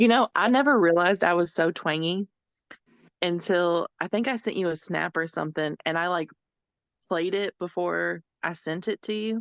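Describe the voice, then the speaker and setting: The speaker has an American accent and ordinary pitch variation at a moderate pace. The sound is dry and close with no echo against a quiet background. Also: woman, fairly low pitch for a woman. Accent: Southern twang, thicker when excited. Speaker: podcast guest. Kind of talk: casual chat.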